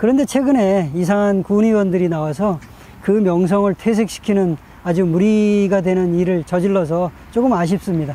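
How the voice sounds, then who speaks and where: Speaking at a moderate pace, a man with a high voice keeps his loudness very even and varies his pitch an ordinary amount. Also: dry sound with no echo. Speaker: channel host. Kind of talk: casual vlog chat. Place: garden.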